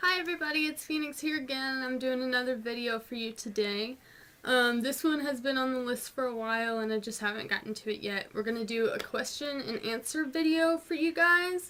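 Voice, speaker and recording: In a raised, projected voice, a woman with an American accent talks at a fairly quick pace with hardly any pauses, a high pitch and ordinary pitch variation. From US South, North Georgia mountains. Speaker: vlogger. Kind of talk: casual Q&A vlog. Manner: casual, many fillers.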